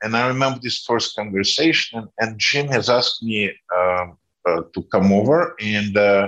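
A man with a Russian accent speaks at a moderate pace with ordinary pitch variation. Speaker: former politician. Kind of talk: interview. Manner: halting.

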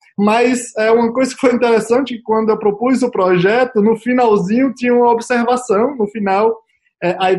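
A man speaking at a moderate pace. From Brazil, interior of Bahia. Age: 30s. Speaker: biologist, vaccine researcher. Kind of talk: interview. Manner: halting, many repetitions.

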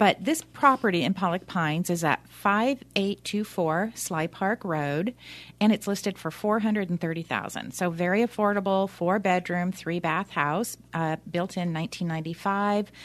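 A woman's unremarkable speaking voice at medium pitch, moderate pace and ordinary pitch variation, with hardly any pauses and a quiet background. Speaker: loan officer. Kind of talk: casual expert conversation on radio. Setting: radio studio.

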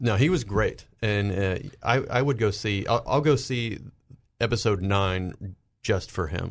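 A plain, everyday voice with an American accent, fairly slow and with ordinary pitch variation, over a quiet background. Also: man, fairly low pitch for a man. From US South. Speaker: pop culture panelist. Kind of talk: casual panel discussion.

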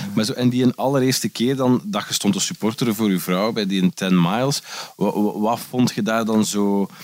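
A man's voice at medium pitch, with ordinary pitch variation and a moderate pace. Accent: Flemish. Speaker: podcast host. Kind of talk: casual chat; scripted outro. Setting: indoors, sitting on a couch. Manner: animated.

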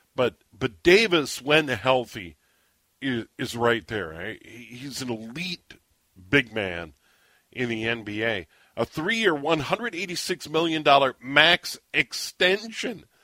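A man with an American accent talks very slowly at a medium pitch, in a bright, sharp tone. His pitch swings very widely, and the sound is dry and close with no echo. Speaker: radio sports host. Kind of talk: radio show chat and interview.

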